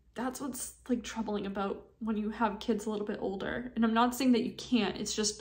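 A woman speaks in a fairly high, somewhat breathy voice. Her intonation is flat and monotone. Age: 30s. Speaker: vlogger. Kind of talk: personal testimony. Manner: halting.

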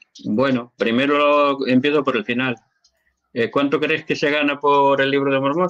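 The sound is dry with no echo over a quiet background. A man with a fairly high pitch talks at a moderate pace in a monotone, flat intonation. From Spain. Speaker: Latter-day Saint church member answering questions; interviewee. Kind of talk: live Q&A interview. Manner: hesitant, repeats words. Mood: earnest, convinced. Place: home room. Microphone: webcam.

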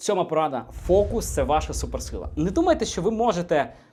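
Animated in tone, a man with a high pitch speaks at a moderate pace, his pitch swinging very widely. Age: 20s. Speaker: entrepreneur and business blogger. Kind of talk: motivational video monologue.

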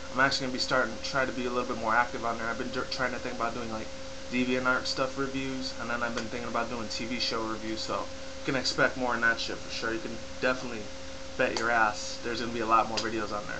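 A very fast-talking man amid noticeable background noise. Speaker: YouTube vlogger. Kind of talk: casual talk to camera. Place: home room. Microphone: webcam.

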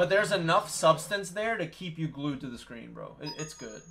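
A man with a high pitch talks at a moderate pace with ordinary pitch variation while music plays in the background. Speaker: game streamer. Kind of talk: casual stream chat. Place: home room.

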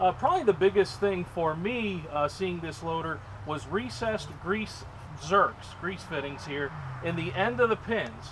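There is noticeable background noise behind a man talking. His pitch is high and his pace fairly slow. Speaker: equipment dealer sales manager. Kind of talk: product demonstration. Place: open country.

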